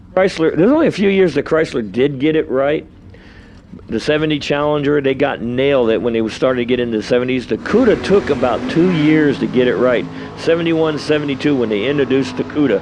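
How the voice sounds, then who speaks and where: A man with an American accent and a fairly high pitch, talking at a very fast pace with ordinary pitch variation and very even loudness over noticeable background noise. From New York. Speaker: drag race announcer. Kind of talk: live commentary.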